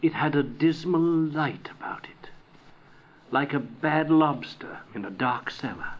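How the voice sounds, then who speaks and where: Using a normal speaking voice, a man talks at a fairly slow pace with fairly high pitch, ordinary pitch variation and big swings in loudness. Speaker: audiobook narrator. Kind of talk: dramatic audiobook narration of a Victorian ghost story. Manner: theatrical, voicing characters like a gruff scoffing Scrooge; building suspense, ominous and deliberate.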